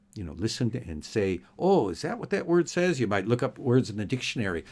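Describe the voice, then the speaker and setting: A man with a North American accent speaks at a medium pitch in a dark, mellow tone, his pitch swinging very widely. The recording is very clean, with a silent background. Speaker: English teacher. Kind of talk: tutorial. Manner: slow and clearly enunciated.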